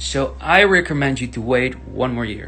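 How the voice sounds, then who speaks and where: A Dutch accent, with audible room echo and music in the background. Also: man. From Netherlands. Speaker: tech YouTuber. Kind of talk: casual Q&A. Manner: halting, many fillers.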